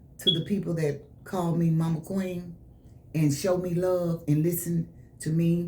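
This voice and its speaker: A woman's fairly low, somewhat breathy voice has a dark, mellow tone and moves at a fairly slow pace. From Memphis, Tennessee. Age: 70s. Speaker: soul blues singer. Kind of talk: radio interview. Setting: radio studio.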